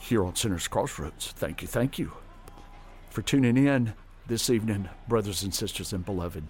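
A man's fairly low voice with a warm, relaxed tone and lively intonation, music in the background. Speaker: radio host. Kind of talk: casual radio chat introducing gospel records. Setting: radio studio broadcast. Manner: warm, relaxed, friendly; unhurried, genial DJ patter.

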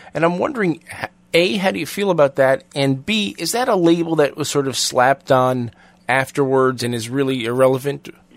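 Using an ordinary speaking voice, a man talks at a fairly high pitch and a moderate pace with ordinary pitch variation. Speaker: radio host. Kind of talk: interview.

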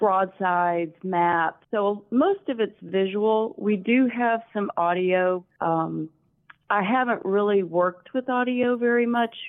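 A woman's very slow delivery in a Southern US accent, at medium pitch with ordinary pitch variation and very even loudness. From Alabama, US South.

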